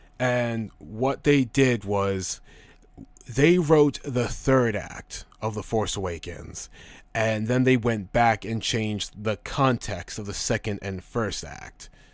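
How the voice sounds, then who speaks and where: The recording is very clean, with a silent background. A man at medium pitch talks at a very slow pace. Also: ordinary pitch variation. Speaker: streamer discussing films. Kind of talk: live stream chat reading viewer comments. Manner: casual, stumbling over words.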